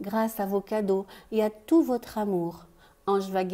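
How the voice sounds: The reading voice is a natural one. Intonation remains fairly even throughout.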